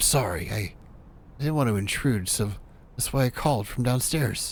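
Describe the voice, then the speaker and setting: Putting on a character voice, a man sounds nervous and breathy at a medium pitch, with ordinary pitch variation and a moderate pace, over clear background noise. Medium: game stream. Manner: stammering, apologetic, nervous.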